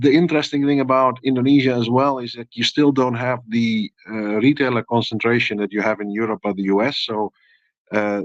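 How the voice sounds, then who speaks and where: With a Dutch accent and fairly even intonation, the speaker moves at a fairly quick pace, the sound dry and close with no echo over a quiet background. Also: man, medium pitch for a man. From Netherlands. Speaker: FMCG industry expert. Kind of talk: panel discussion.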